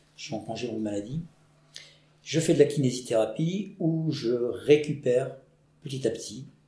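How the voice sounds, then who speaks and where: Somewhat breathy and dark, mellow in tone, a man speaks at a fairly high pitch and a fairly slow pace, with ordinary pitch variation, big swings in loudness and long, frequent pauses. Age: 50s. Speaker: PE teacher. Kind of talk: interview. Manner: halting.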